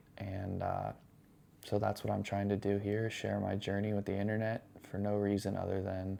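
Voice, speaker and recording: A man speaks softly at a moderate pace in a very deep, low voice, his tone dark and mellow and his intonation flat and monotone. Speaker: vlogger, new dad and cook. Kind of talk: casual vlog monologue. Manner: soft-spoken, talking low.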